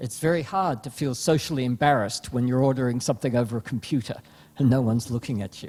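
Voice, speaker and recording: A man talks with an Australian accent. His tone is dark and mellow. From Australia (Melbourne). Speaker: panelist, consumer behaviour researcher. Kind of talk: panel discussion.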